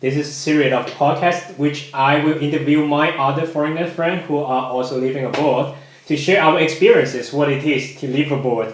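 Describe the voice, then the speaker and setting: A man with a Chinese accent talks at a fairly quick pace with hardly any pauses, fairly high in pitch and fairly even in intonation. Audible room echo and noticeable background noise come through. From China. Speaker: podcast host. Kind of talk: casual chat.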